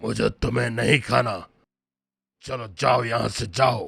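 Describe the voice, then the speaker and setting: Using a raspy, cartoonish character voice, a man speaks at a fairly slow pace with a medium pitch. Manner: commanding.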